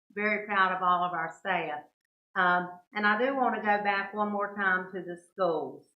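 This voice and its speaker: Audible room echo surrounds a woman's medium-pitched voice. Her intonation is fairly even and her pace moderate. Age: 70s. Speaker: mayor pro tem. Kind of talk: council meeting remarks.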